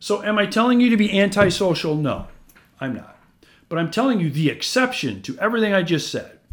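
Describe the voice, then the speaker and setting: Pitched high for a man, his Midwestern American accent comes through at a moderate pace with very wide pitch swings. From US Midwest, north central Iowa. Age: 50s. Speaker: real estate investor and podcast host. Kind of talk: solo podcast monologue. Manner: animated.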